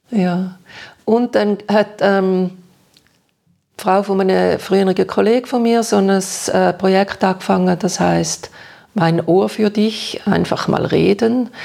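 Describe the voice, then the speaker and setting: A woman speaks at a medium pitch in a dark, mellow tone, very slowly and in a flat monotone, with long, frequent pauses. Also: very even loudness. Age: 60s. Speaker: retired social worker and stroke survivor. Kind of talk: interview about personal experience. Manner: hesitant, many fillers.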